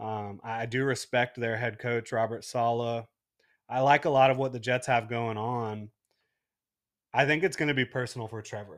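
A man with an American accent and an unremarkable speaking voice, medium in pitch, fairly even in intonation and moderate in pace, on a very clean recording with a silent background. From Jacksonville, Florida. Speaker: sports blogger. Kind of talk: casual chat. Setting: studio.

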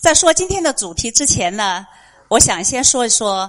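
Her pace stays moderate. The woman's intonation is lively. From Chengdu, China. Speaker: listener and parent. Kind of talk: prepared speech. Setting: bookstore event with live audience.

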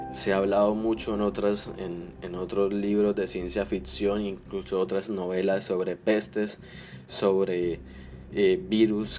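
With a dark, mellow tone and a fairly low pitch, a man talks at a fairly slow pace using ordinary pitch variation. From Colombia. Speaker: podcast host, aspiring writer. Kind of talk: solo podcast monologue, literary analysis. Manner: halting, with fillers.

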